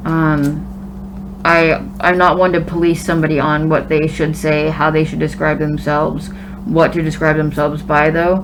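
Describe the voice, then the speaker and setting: Over noticeable background noise and audible room echo, a woman speaks at a moderate pace with a very deep, low pitch, very even loudness and monotone, flat intonation. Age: 30s. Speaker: vlogger documenting gender transition. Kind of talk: casual vlog talk.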